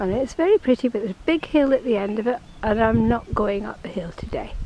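A woman with a fairly high pitch speaks in a dry room with no echo, with noticeable background noise behind her. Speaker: grandmother filming her walk. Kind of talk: casual walking vlog narration. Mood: relaxed, amused. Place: waterside. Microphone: phone near.

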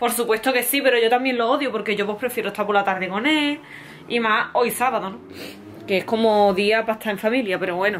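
A woman talks at a very fast pace with ordinary pitch variation. Light background noise sits behind her. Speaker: family vlogger. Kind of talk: casual vlog chat. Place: home room. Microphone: phone near.

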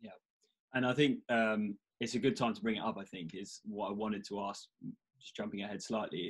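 Over a quiet background, a man speaks with a British accent at a fairly low pitch. His pace is fairly quick and his intonation fairly even. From UK. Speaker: podcast host. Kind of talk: casual interview. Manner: halting, many fillers. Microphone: video call.

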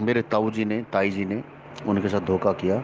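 Noticeable background noise beneath a monotone, flat delivery. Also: man. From Haryana, India (Gurgaon). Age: 40s. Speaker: astrologer. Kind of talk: group discussion, personal testimony.

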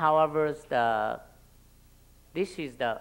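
Speaking very slowly with a Vietnamese accent, a man uses a fairly high pitch and ordinary pitch variation. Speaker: local elected official; panelist. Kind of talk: panel talk. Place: hall. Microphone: podium.

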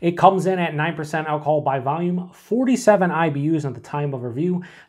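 The speech moves at a moderate pace with ordinary pitch variation over a quiet background. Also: man. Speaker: beer reviewer. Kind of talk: casual review chat. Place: home room.

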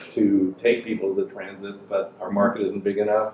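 A man talks at a moderate pace in a room with audible echo. Light background noise is present. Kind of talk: casual conversation. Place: shop. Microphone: camera far.

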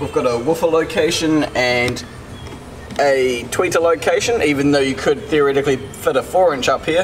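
A man with ordinary pitch variation against noticeable background noise. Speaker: car audio installer vlogger. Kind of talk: casual vlog chat. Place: workshop. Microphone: phone near.

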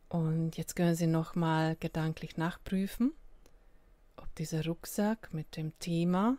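In a very clean recording with a silent background, a woman speaks very slowly at a fairly low pitch. Her tone is dark, mellow, calm and soothing, with ordinary pitch variation. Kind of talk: guided meditation. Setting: solo recording without music. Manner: slow, calm, soothing with long pauses; gentle, invitational.

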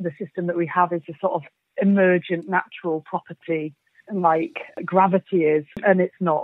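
In a Yorkshire accent, a woman with a medium pitch speaks at a moderate pace with fairly even intonation. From Yorkshire, England. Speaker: climate activist. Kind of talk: interview.

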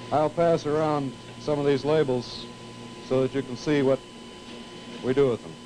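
A man with an American accent and fairly high pitch, moderate pace, fairly even intonation, long, frequent pauses, and noticeable background noise. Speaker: television engineer giving a tour. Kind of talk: vintage training film narration, a guided tour demonstrating equipment to students. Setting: studio tape room, filmed tour. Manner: formal, measured, explanatory; didactic, with occasional 'uh' pauses. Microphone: handheld.

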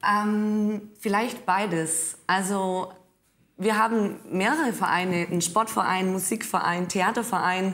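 A woman with a Swabian accent, medium in pitch, very slow in pace, her intonation fairly even and her loudness very even. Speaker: trainee teacher living in a village. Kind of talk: studio discussion.

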